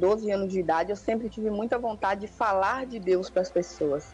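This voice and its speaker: Her voice is somewhat breathy and sits at a medium pitch. She talks at a moderate pace. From interior of Bahia, Brazil. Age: 20s. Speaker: missionary. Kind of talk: testimony.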